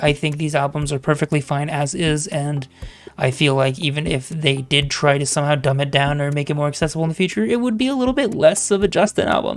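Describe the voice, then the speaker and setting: The voice is quiet and moves at a fairly quick pace. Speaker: music reaction reviewer. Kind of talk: album review monologue. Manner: casual with fillers.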